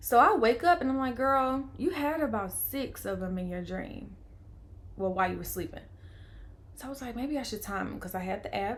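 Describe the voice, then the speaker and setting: Amid audible room echo, a woman with a fairly high pitch uses lively intonation and big swings in loudness. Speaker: vlogger. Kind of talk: personal storytelling. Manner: fast; animated.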